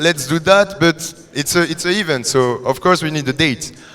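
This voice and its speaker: There is noticeable background noise as a man with a French accent speaks at a moderate pace with ordinary pitch variation. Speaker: coding bootcamp student. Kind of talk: product demo presentation. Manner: halting.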